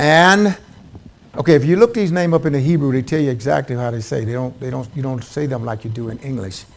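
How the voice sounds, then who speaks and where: A medium-pitched man's voice with a Southern US accent. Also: lively intonation. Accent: southern drawl. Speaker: Bible teacher. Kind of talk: Bible study lecture.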